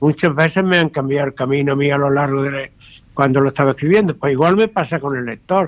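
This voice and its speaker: Very fast in pace, this man's speech sits at a fairly high pitch. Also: ordinary pitch variation. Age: 80s+. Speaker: retired journalist and novelist. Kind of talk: radio interview.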